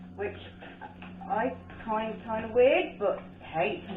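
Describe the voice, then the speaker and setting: A woman with a Birmingham accent talks at a fairly slow pace, with audible room echo and noticeable background noise. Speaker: art painter and video creator. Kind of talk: casual chat while painting. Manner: rambling, chatty.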